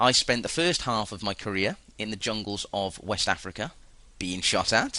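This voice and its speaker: With a British accent, a man talks at a moderate pace in a medium pitch and a bright, sharp tone. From UK. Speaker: currency trader. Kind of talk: webinar presentation.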